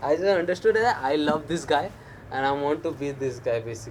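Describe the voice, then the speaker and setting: This man speaks with a non-native accent and lively intonation. Noticeable background noise runs under his voice. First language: not English. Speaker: stand-up comedian. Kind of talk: interview. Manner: halting, many fillers.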